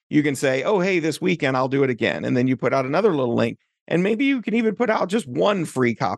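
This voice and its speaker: Lively intonation and vocal fry from a man at a fairly quick pace, in a dry, close sound with no echo. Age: 40s. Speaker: software developer and author tools founder. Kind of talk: interview.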